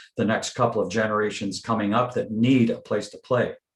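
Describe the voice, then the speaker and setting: At a moderate pace, a man speaks in a somewhat breathy, medium-pitched voice with monotone, flat intonation. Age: 70s. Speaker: council delegation speaker, music advocate. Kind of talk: council meeting Q&A. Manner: halting, many fillers.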